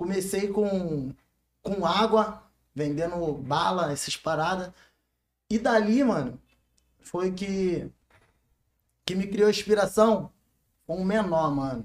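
A high-pitched man with a Carioca accent, very slow and broken by long, frequent pauses. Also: ordinary pitch variation. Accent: carioca Brazilian Portuguese. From Rio de Janeiro. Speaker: funk MC. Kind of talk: casual interview.

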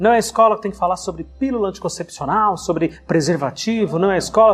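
Very fast and lively in intonation, a man speaks at a high pitch. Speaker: podcast host and teacher. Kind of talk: casual chat.

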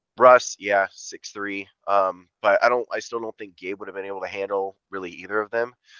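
A man talks at a moderate pace in a fairly low, bright, sharp voice. His intonation is monotone and flat, but his loudness swings a lot. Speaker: podcast host. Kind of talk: casual chat.

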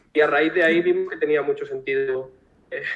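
A man at a moderate pace. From Spain, Alicante. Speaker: marketing director of a startup. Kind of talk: live-streamed interview.

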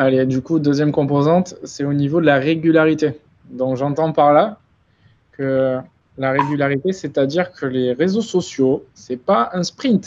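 A man with a plain, everyday voice talks at a fairly slow pace and a fairly high pitch. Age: 20s. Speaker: influencer marketing agency founder. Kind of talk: webinar presentation. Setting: live stream.

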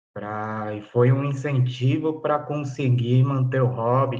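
At a moderate pace, a man speaks at medium pitch with fairly even intonation, and room echo is audible. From São Paulo city, south zone. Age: 20s. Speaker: pipe dealer and historian. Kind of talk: interview.

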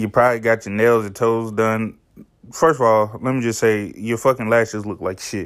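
The man talks at a fairly quick pace in a medium-pitched voice. His delivery is monotone and flat. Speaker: podcast host. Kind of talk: casual rant. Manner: casual, profane, rambling.

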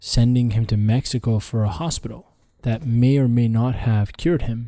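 A man with a dark, mellow tone and a somewhat breathy quality, captured in a very clean recording with a silent background. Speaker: podcast guest. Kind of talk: casual conversation. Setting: studio.

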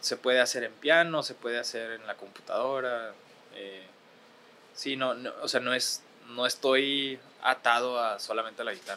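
In a northern Mexican accent, a man speaks at medium pitch. His intonation is fairly even. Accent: Ciudad Juárez, northern Mexican. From Ciudad Juárez, northern Mexico. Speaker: musician and producer. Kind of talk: casual chat. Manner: hesitant, repeats words.

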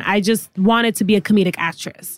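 Dry and close with no echo, a woman's voice has a New York accent. She speaks at a moderate pace with a fairly high pitch. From New York City, the Bronx. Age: 20s. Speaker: comedian. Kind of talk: casual chat. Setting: studio. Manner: loud.

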